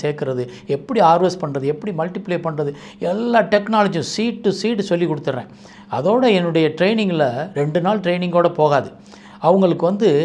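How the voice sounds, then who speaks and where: This man's voice sits high in pitch. It varies in pitch in an ordinary way. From Madurai, Tamil Nadu. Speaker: mushroom researcher and trainer. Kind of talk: interview monologue.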